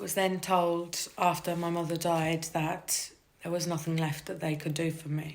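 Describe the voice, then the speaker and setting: A woman's fairly low, monotone voice with flat intonation at a moderate pace, amid audible room echo and noticeable background noise. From UK, Irish Traveller family. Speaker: cancer patient sharing her story. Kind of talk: personal testimony. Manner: halting, with fillers and repetitions.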